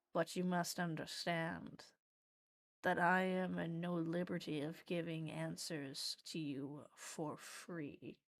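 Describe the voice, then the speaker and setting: A woman's put-on character voice, rumbling and fairly low in pitch, at a fairly slow pace. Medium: actual play. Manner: oppressive, bone-chilling.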